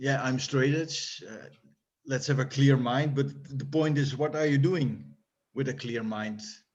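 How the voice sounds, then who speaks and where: A man with a Dutch accent, somewhat breathy, medium in pitch, at a fairly slow pace with fairly even intonation. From Netherlands. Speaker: hardcore punk musician. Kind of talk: interview. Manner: halting.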